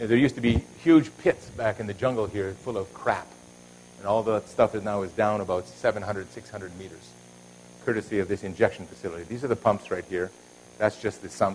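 A man talks at a moderate pace with a fairly low pitch, ordinary pitch variation and vocal fry. His loudness swings widely, and there is light background noise. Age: 60s. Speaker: engineering professor. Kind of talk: lecture. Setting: stage with audience. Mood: relaxed, slightly humorous. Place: hall.

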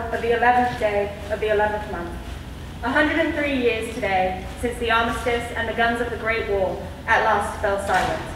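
In a room with audible echo and light background noise, a woman speaks at a moderate pace with ordinary pitch variation. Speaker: speaker. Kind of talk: formal commemorative speech. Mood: solemn, reflective. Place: hall.

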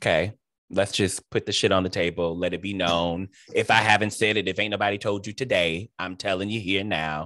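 A man with an American accent, fairly low in pitch, at a fairly quick pace, with a bright, sharp tone, dry sound with no echo and a quiet background. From Cleveland, Ohio; Ohio. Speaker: interview host and theater director; host interviewer. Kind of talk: interview. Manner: animated. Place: home room. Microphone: video call.

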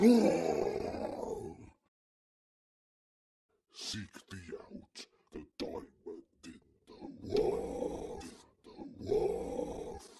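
A man puts on a raspy character voice at an extremely high pitch. He speaks very slowly, with long, frequent pauses.

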